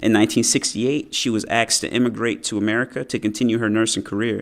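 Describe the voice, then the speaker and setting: A man speaks at a very fast pace. The intonation is monotone and flat. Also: medium pitch for a man, very clean recording, silent background. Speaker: grandson of the deceased. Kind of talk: reading aloud. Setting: funeral service. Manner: halting.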